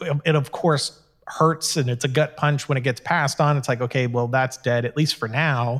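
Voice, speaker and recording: A man speaks in an ordinary speaking voice, fairly high-pitched, with ordinary pitch variation at a moderate pace. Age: 30s. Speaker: filmmaker and online video show host. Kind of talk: casual chat.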